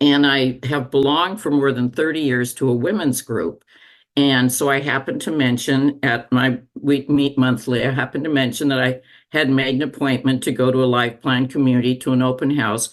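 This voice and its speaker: The voice belongs to a woman. It sits at a very deep, low pitch. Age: 80s+. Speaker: retiree. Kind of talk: casual chat.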